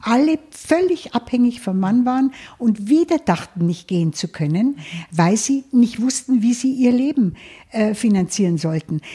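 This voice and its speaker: A woman speaks at a fairly high pitch with very wide pitch swings and a dark, mellow tone. Her pace is fairly slow, and the recording is very clean with a silent background. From Lower Bavaria, Germany. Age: 70s. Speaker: financial advisor. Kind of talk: interview. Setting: her office.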